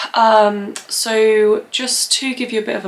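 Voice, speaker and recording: A woman's very slow voice with fairly even intonation over noticeable background noise. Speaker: plant content creator. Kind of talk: casual vlog talk to camera. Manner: hesitant, many fillers.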